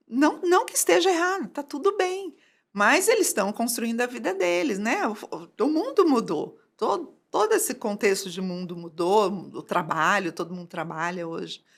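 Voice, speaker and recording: A woman's fairly high voice at a moderate pace, with very wide pitch swings and big swings in loudness, on a very clean recording with a silent background. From Brazil, São Paulo state (Valinhos). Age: 60s. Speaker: entrepreneur running courses for seniors. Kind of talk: podcast interview.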